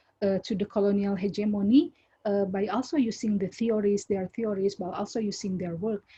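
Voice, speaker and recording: This woman sounds somewhat breathy, with a dark, mellow tone at medium pitch. She talks at a fairly quick pace with fairly even intonation. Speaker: academic. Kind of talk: academic Q&A answer. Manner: halting, many repetitions and fillers.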